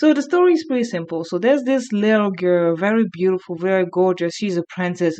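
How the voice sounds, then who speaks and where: A woman's medium-pitched voice with a strong French accent, a dark, mellow tone, lively intonation and a fairly quick pace with hardly any pauses. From France. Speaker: youtuber. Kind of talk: video essay.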